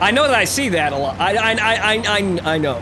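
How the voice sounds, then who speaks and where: Noticeable background noise and audible room echo surround a man whose high-pitched voice moves in very wide pitch swings. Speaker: let's play gamer. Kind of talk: gameplay commentary. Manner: fast, mushes words; stuttering.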